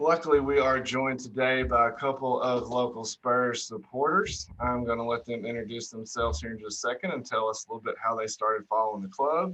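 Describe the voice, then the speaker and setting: With an American accent, a man talks at a fairly quick pace with hardly any pauses, medium pitch and ordinary pitch variation over noticeable background noise. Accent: redneck. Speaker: podcast host. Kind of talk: casual chat.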